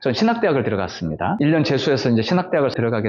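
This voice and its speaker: A man's fairly high voice at a very fast pace with very wide pitch swings. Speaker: Buddhist monk. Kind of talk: personal testimony. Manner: conversational, many fillers.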